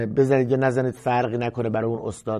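A dark, mellow tone over a quiet background. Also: man. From Iran, Kashan; Iran. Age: 30s. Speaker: music teacher. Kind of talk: tutorial; course introduction talk. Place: studio. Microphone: lapel.

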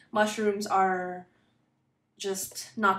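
A woman speaks with a Filipino accent. Audible room echo surrounds her voice. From Philippines. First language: Tagalog. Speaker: booktuber. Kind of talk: casual vlog. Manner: pauses to find words. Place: home room. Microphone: phone near.

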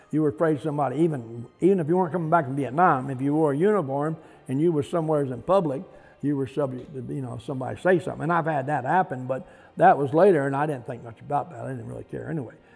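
Faint music plays behind a man talking at a very fast pace. His loudness swings widely, and his pitch varies in an ordinary way. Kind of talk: interview answer. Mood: reflective, matter-of-fact. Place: hall.

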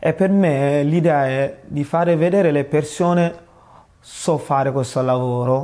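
Against a quiet background, a man with a non-native accent speaks at a fairly slow pace, his fairly high voice carrying a dark, mellow tone. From Senegal. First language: not Italian (speaking Italian). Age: young. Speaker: student. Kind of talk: appeal for support; interview answer. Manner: halting. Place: home room. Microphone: lapel.

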